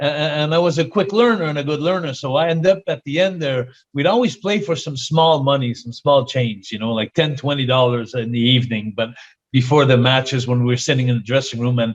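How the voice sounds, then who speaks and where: Speaking at a fairly quick pace, a man with a fairly high voice shows ordinary pitch variation. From Quebec, Canada. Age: 60s. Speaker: retired pro wrestler. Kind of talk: interview. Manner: many fillers and hesitations.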